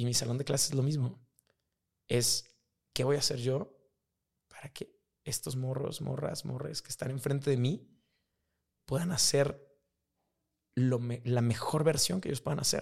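A man with a Mexican accent, somewhat breathy and medium in pitch, at a fairly slow pace, with ordinary pitch variation and long, frequent pauses. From Mexico. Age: 30s. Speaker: high school teacher and rugby referee. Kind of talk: casual chat. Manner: animated.

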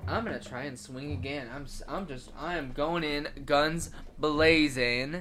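A very slow pace with music in the background. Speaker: tabletop game player. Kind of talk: tabletop roleplaying game session, casual. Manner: animated.

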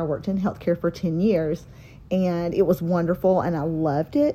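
Speaking in a Southern US accent, a woman with a fairly low pitch and a dark, mellow tone keeps a moderate pace and fairly even intonation. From North Carolina. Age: 40s. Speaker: dance teacher and podcast co-host. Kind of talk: casual chat.

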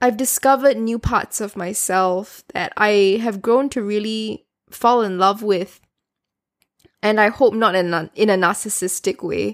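In a normal speaking voice, a woman speaks fairly slowly at fairly high pitch with fairly even intonation, on a very clean recording with a silent background. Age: 20s. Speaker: solo podcast host. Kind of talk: personal reflective monologue. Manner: casual and rambling with fillers.

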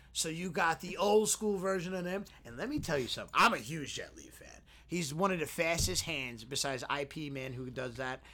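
A plain, everyday voice at a fairly quick pace, with lively intonation and big swings in loudness. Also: man, fairly high pitch for a man. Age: 30s. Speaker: podcast co-host. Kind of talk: casual chat.

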